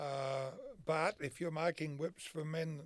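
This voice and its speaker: The man has an Australian accent and a fairly high pitch. His intonation is fairly even. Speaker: horseman and whip maker. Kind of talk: interview answer. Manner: casual, folksy.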